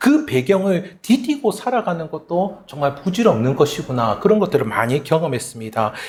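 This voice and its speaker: Speaking with a Gyeongsang accent, a man uses a high voice that swings very widely in pitch. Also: moderate pace. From South Korea, Gyeongsang region. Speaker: pastor. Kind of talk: sermon.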